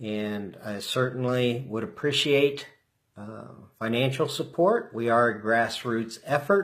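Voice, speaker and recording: A man with an unremarkable speaking voice talks at a fairly slow pace in a medium pitch. His intonation is lively and his loudness swings widely. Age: 60s. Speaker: political candidate. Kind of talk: campaign livestream address. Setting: live stream from home.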